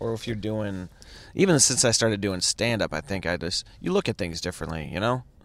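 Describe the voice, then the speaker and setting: A man with an American accent and a normal speaking voice talks fairly quickly at a fairly low pitch with ordinary pitch variation. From Chicago area. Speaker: stand-up comedian. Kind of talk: casual chat. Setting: in a car.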